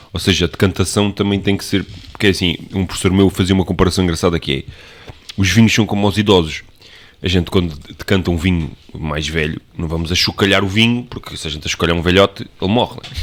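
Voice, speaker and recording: A man's very deep, low voice at a very fast pace, with fairly even intonation. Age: 30s. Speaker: podcast co-host, wine enthusiast. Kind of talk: casual chat.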